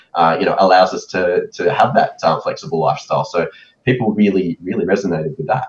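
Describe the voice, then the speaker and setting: Speaking fairly quickly, a man talks with an Australian accent. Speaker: photo booth expo organizer; guest. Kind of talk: casual interview. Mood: relaxed, friendly. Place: home room.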